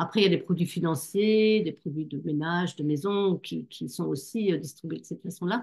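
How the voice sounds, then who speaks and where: Pitched fairly low, a woman with a slight German accent talks at a moderate pace with ordinary pitch variation and hardly any pauses. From Germany. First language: German (speaking French). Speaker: network marketing distributor. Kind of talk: online business presentation. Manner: hesitant, many fillers.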